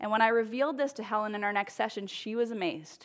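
A plain, everyday voice, a woman speaks fairly quickly at a fairly high pitch with lively intonation in a very clean recording with a silent background. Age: 30s. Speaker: lay preacher, small group leader. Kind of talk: sermon. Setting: church with congregation. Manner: casual, laughing.

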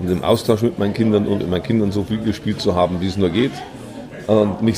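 Against noticeable background noise and audible room echo, a man talks very fast in a fairly low voice with ordinary pitch variation. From Bavaria, Kelheim district. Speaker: entrepreneur. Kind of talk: interview. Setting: theatre canteen.

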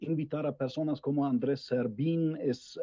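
This man speaks with a German accent. His pitch is medium and his pace moderate. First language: German (speaking Spanish). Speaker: political scientist. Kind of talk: panel discussion. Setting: video call. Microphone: bad connection.

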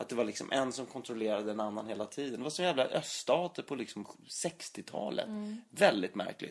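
Moving at a fairly quick pace, a man at a medium pitch makes very wide pitch swings. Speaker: actor and podcast co-host. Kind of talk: casual chat.

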